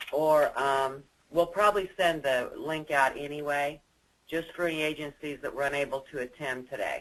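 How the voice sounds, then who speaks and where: A man with an ordinary speaking voice, fairly high pitch, fairly even intonation and a moderate pace. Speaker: state agency staff presenter. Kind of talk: webinar presentation. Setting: webinar.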